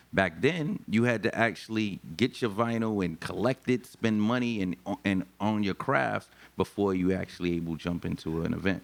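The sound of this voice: A man speaks at a moderate pace with vocal fry. His pitch varies an ordinary amount. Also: fairly low pitch for a man.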